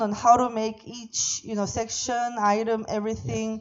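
With a Korean accent, a woman speaks in a fairly high voice at a moderate pace with monotone, flat intonation. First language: Korean (speaking Vietnamese). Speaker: visiting preacher. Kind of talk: sermon via interpreter. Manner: halting.

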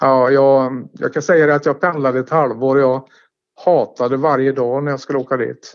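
An ordinary speaking voice, moderately paced and with fairly even intonation. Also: man, medium pitch for a man. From Sweden, Tidaholm (Västergötland). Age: 50s. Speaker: former local resident interviewed about his life. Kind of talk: casual interview. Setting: phone call. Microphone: telephone line.

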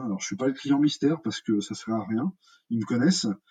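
The man talks in a dark, mellow tone, his pitch varying in an ordinary way. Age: 40s. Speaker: hospitality consultant. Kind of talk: interview. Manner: halting.

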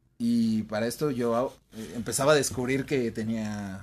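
With an ordinary speaking voice, a man holds a medium pitch and ordinary pitch variation. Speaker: podcast co-host. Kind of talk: casual chat.

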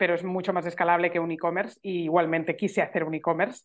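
A woman talks at a very fast pace with an animated tone. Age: 40s. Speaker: entrepreneur, journalist. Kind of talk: casual interview.

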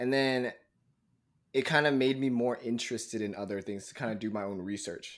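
A man speaks at a fairly quick pace in a normal speaking voice, his pitch medium with ordinary variation. The recording is very clean, with a silent background. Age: 20s. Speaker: podcast co-host. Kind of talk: casual chat.

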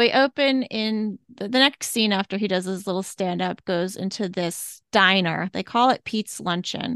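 A woman's unremarkable speaking voice at medium pitch, moderate pace and hardly any pauses, with ordinary pitch variation, a dry, close sound with no echo, and a quiet background. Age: 40s. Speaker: podcast co-host. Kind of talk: casual chat.

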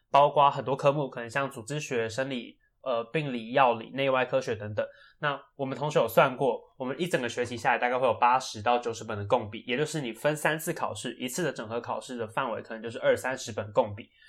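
In an ordinary speaking voice, a man talks at a fairly quick pace with medium pitch, fairly even intonation and big swings in loudness, recorded very cleanly against a silent background. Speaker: medical student podcast co-host. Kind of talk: casual chat.

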